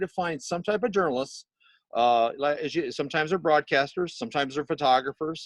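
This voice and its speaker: Recorded with a dry, close sound, no echo and a quiet background, a man with an American accent has an ordinary speaking voice, a fairly high pitch and lively intonation. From Missouri. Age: 60s. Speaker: magazine editor. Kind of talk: interview. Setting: video call, audio only.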